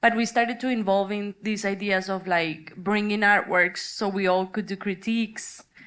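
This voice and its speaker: A woman with a Spanish accent speaks at a moderate pace in a medium pitch, her intonation monotone and flat, with hardly any pauses. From Colombia. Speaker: artist. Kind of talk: panel discussion.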